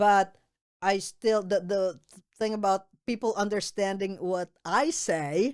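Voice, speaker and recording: Speaking very slowly with a Filipino accent, a woman uses ordinary pitch variation in a very clean recording with a silent background. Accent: Filipino accent, kept on purpose. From Philippines. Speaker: state representative. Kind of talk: casual interview chat. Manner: slow, careful enunciation; halting, many repeated words.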